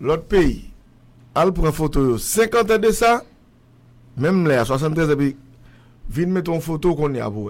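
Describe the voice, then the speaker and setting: Speaking at a fairly slow pace with long, frequent pauses, a man with a fairly high pitch lets his voice swing very widely. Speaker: radio show host. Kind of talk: casual chat.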